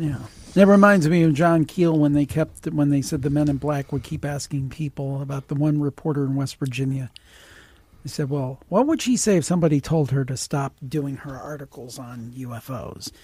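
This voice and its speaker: With ordinary pitch variation, the somewhat breathy speech proceeds at a moderate tempo. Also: man, fairly high pitch for a man. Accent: Midwestern American. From US Midwest, Cleveland, Ohio. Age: 50s. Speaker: podcast host and producer. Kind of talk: casual interview chat.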